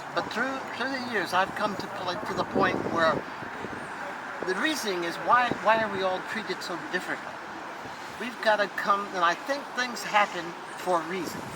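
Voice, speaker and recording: A woman speaks at a moderate pace with long, frequent pauses, her voice carrying audible room echo over noticeable background noise. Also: medium pitch for a woman, ordinary pitch variation. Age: 80s+. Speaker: civil rights activist. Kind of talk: speech at a rally.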